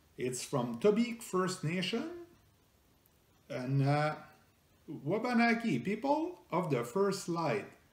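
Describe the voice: Amid strong room echo, a man with a French Canadian accent speaks slowly at a high pitch, swinging his pitch widely and leaving long, frequent pauses.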